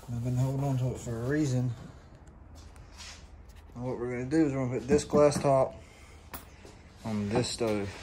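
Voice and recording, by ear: A man talks at medium pitch with a dark, mellow tone. His intonation is fairly even, with audible room echo around him.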